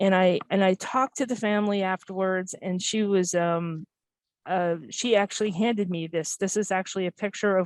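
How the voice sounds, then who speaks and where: With an American accent, a woman speaks in an ordinary speaking voice at a medium pitch and with fairly even intonation, the sound dry and close with no echo and the background quiet. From US Midwest, Minnesota, small town. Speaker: hospice nurse. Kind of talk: presentation.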